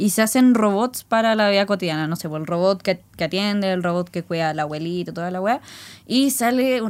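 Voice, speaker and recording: In a very clean recording with a silent background, a woman talks at a fairly quick pace with a normal speaking voice, a medium pitch and ordinary pitch variation. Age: 20s. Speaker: podcast co-host. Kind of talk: casual chat.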